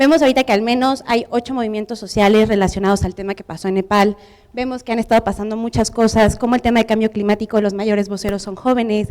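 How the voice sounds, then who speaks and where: A woman with a fairly high pitch talks at a very fast pace, with hardly any pauses. Her intonation stays fairly even. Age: 20s. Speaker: public policy specialist, conference speaker. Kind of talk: conference talk. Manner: informal.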